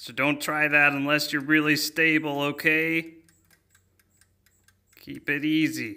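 A cartoonish character voice with a whiny tone at a middle pitch. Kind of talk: children's cooking cartoon. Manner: chatty, rhyming, mock-spooky instructions turning to whiny complaints.

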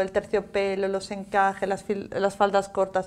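A woman's voice at a fairly slow pace. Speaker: fashion trends commentator. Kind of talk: casual chat. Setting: studio. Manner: animated. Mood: lively, animated. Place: studio. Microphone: lapel.

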